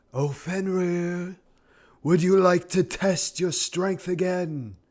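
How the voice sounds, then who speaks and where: In a put-on character voice pitched high for a man, he speaks at a very slow pace over a very clean recording with a silent background. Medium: read story.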